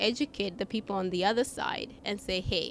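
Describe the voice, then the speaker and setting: This woman speaks with an African accent. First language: not English; English is her third language. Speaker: customer experience executive. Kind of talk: podcast interview.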